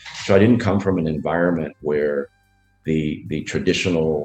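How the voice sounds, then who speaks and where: Music plays in the background as a man talks at a moderate pace in a very deep, low voice with ordinary pitch variation. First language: Spanish. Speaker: business leader. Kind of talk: interview. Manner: halting, many fillers.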